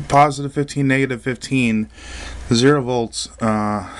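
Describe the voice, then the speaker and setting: A man at a medium pitch and fairly slow pace, with noticeable background noise. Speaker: electronics hobbyist. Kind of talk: casual talk to camera.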